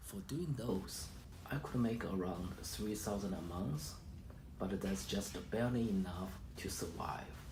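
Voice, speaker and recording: A man with a Chinese accent speaks at a fairly slow pace, with fairly low pitch and lively intonation, amid noticeable background noise and audible room echo. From China. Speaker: immigrant sharing personal story. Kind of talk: personal testimony. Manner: halting, with fillers.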